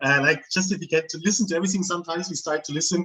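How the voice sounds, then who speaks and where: Pitched fairly high, a man speaks in a normal speaking voice with ordinary pitch variation. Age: 40s. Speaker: metal music interviewer. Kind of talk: casual chat.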